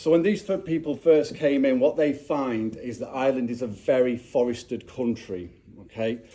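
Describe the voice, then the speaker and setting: In a Yorkshire accent, a man talks at a moderate pace and medium pitch with lively intonation. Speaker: speaker at a clan gathering. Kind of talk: public talk. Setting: castle with live audience. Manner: halting, many fillers.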